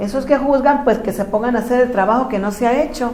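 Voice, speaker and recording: In a room with audible echo and noticeable background noise, a woman speaks at a fairly quick pace with ordinary pitch variation. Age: 60s. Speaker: spiritual teacher. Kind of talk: lecture.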